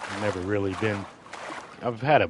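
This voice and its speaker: A quiet, mumbling man with an American accent, very deep and low in pitch, with ordinary pitch variation at a fairly slow pace, over noticeable background noise. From Florida. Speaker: gaming streamer. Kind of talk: live gameplay stream chat. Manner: quiet, tends to mumble; casual, rambling.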